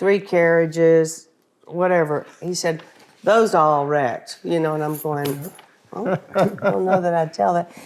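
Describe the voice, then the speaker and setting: A woman talks in a Texan accent with ordinary pitch variation. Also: fairly low pitch for a woman, fairly slow pace. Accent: Texan Southern US. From Texas. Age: 60s. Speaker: wife of a country singer. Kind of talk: casual interview chat. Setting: at home.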